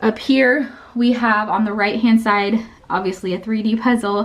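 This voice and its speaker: A woman speaks at a fairly slow pace in a somewhat breathy, fairly high voice. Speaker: homeschooling mom and tutor. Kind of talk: home tour vlog. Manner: casual, chatty.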